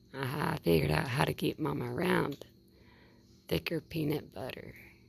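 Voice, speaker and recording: A woman with a Southern US accent, speaking at a fairly quick pace. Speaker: wildlife video creator. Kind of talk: casual narration to camera while feeding animal. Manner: soft, cooing baby talk to animal.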